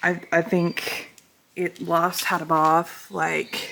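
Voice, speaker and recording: This woman's voice sits fairly low in pitch. She talks at a very slow pace. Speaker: equestrian vlogger. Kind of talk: casual vlog narration. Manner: casual, with frequent fillers.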